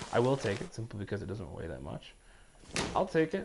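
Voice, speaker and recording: A man speaks at a very fast pace and a medium pitch. His intonation is lively. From Canada. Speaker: gaming streamer. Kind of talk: casual chat. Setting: live stream.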